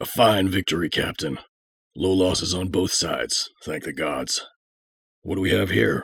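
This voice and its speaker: Using a put-on character voice, a man speaks at a moderate pace, raspy and with a very deep, low pitch. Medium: audio drama. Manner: potent and stoic.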